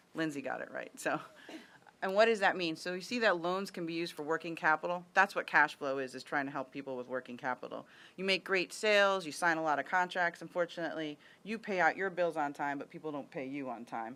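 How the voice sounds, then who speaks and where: A woman's fairly low, bright and sharp voice at a very fast pace, with ordinary pitch variation and big swings in loudness, in a very clean recording over a silent background. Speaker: government official presenting to a board. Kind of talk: presentation. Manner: animated.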